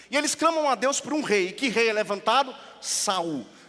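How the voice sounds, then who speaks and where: Over noticeable background noise, a man speaks at a moderate pace with an extremely high pitch. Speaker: pastor. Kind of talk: sermon.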